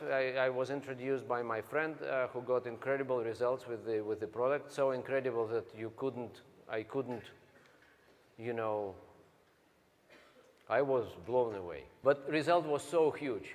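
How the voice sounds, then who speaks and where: Speaking with a Russian accent, a man uses a medium pitch and fairly even intonation, leaving long, frequent pauses. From Siberia, Russia. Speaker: network marketing speaker. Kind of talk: motivational talk. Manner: slow; halting.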